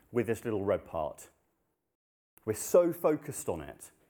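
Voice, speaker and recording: A man with vocal fry, very wide pitch swings, a dark, mellow tone and a fairly slow pace. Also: long, frequent pauses, big swings in loudness. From Nepal. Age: 30s. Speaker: preacher. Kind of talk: sermon.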